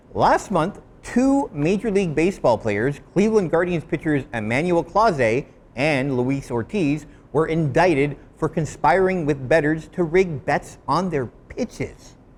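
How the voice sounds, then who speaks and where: A man with a Canadian accent has an unremarkable speaking voice, fairly high in pitch with lively intonation at a fairly slow pace. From Canada. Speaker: commentary video host. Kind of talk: scripted commentary to camera.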